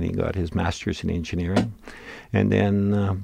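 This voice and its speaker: A man with a Canadian accent speaks at a moderate pace, his very deep, low pitch carrying vocal fry and a dark, mellow tone. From Manitoba, Canada (rural Interlake). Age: 70s. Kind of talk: interview storytelling. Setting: studio. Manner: talkative.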